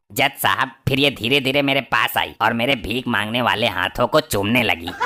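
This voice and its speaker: A man's cartoonish character voice, medium in pitch, with ordinary pitch variation, very even loudness and a moderate pace. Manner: witty, sly, flattering.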